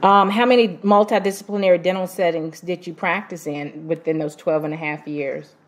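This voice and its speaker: Ordinary pitch variation marks a woman speaking at a fairly slow pace. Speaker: doctoral student interviewer. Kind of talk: research interview.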